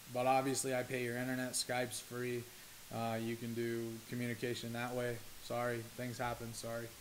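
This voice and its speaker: In a room with audible echo, a man speaks at a medium pitch with monotone, flat intonation. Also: moderate pace. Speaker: esports team owner. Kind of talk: explainer monologue to camera. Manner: halting, stuttering. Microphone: poor recording quality.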